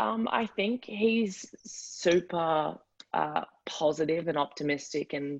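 A woman with a strong Australian accent speaks with lively intonation. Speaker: college athlete. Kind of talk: interview. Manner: hesitant, many fillers.

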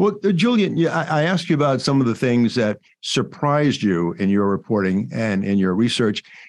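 Very wide pitch swings mark a man's medium-pitched voice with an American accent, delivered at a moderate pace and very even loudness. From US South. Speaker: podcast host and veteran weathercaster. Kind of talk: interview conversation.

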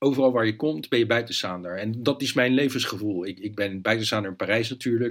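The recording is very clean, with a silent background and pitch that varies in an ordinary way. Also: man. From Netherlands, Leiden. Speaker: journalist and author. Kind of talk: interview conversation. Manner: hesitant, frequent repetitions.

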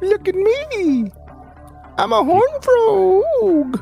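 An extremely high-pitched put-on character voice speaks very slowly, with very wide pitch swings. Clear music plays in the background.

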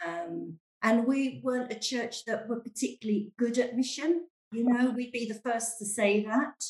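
A woman with a London accent, fairly high pitch and ordinary pitch variation. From London, England. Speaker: church member and stay-at-home mum. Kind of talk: casual chat. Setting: video call.

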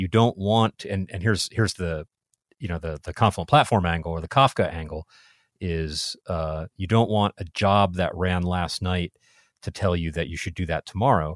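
A man's very deep, low voice at a moderate pace with ordinary pitch variation, in a very clean, silent-background recording with a dry, close sound and no echo. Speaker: podcast host. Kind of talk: casual technical interview. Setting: studio.

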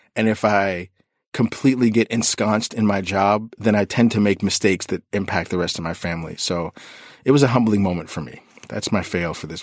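Pitched fairly low, a man talks fairly quickly in a normal speaking voice with ordinary pitch variation and big swings in loudness. The recording is very clean, with a silent background. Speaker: podcast co-host, freelance writer. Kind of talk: casual chat.

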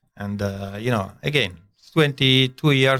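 The voice has a bright, sharp tone and speaks with an Italian accent. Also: man. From northern Italy. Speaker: chef. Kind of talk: casual interview. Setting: studio.

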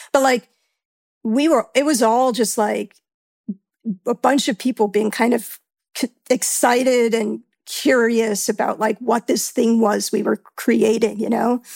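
A normal speaking voice with an American accent moves at a fairly slow pace, its intonation fairly even and loudness very even. The sound is dry and close with no echo. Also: woman, fairly high pitch for a woman. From New York. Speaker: actor and sound editor. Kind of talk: casual interview.

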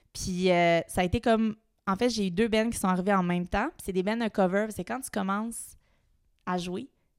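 In a Quebec accent, a woman speaks at a moderate pace and medium pitch with fairly even intonation, recorded very cleanly with a dry, close sound, no echo and a silent background. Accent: Québécois French. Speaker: drummer. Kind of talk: casual chat.

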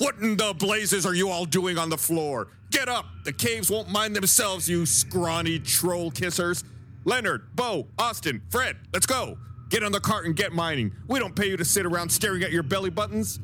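Someone does a gruff, put-on character voice at a moderate pace over clear background noise. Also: man, high pitch for a man. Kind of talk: scolding. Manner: gruff, huffing, bossy.

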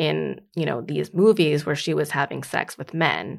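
In a very clean recording with a silent background, a woman with a very deep, low pitch and vocal fry speaks at a moderate pace. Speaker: author. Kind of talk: interview conversation about her book.

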